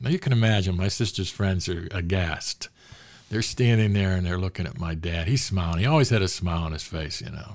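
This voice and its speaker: Very deep, low male voice in a Western Pennsylvania accent, with ordinary pitch variation and a fairly quick pace. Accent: Western Pennsylvania American. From Pittsburgh, US. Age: 70s. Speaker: sports author. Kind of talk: casual interview storytelling.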